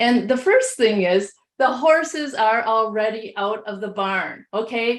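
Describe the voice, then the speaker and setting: At a fairly slow pace, a woman with a Midwestern accent speaks at a fairly high pitch with lively intonation. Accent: Midwest. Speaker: education technology leader. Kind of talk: webinar presentation. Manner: hesitant with many fillers.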